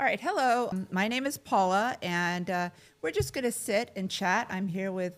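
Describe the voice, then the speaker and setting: A woman's ordinary speaking voice, medium in pitch with ordinary pitch variation and a moderate pace, on a very clean recording with a silent background. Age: 60s. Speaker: care administrator. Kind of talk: casual chat.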